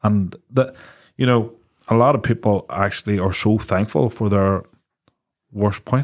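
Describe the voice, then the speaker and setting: A fairly low-pitched man at a fairly slow pace, fairly even in intonation, with long, frequent pauses, on a very clean recording with a silent background. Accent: Northern Irish. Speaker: podcast co-host. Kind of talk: casual chat.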